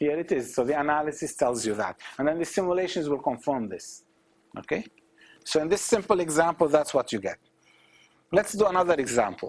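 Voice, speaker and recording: An unremarkable speaking voice delivers lively intonation at a fairly quick pace on a very clean recording with a silent background. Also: man, fairly high pitch for a man. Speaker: professor. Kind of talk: lecture.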